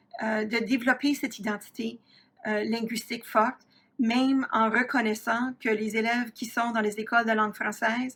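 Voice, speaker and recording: Her voice sits at a fairly high pitch. The woman's intonation stays monotone and flat. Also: moderate pace. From Ontario, Canada (Franco-Ontarian, south-central/southwest Ontario). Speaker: university professor, researcher. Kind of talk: lecture. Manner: frequent hesitations (euh).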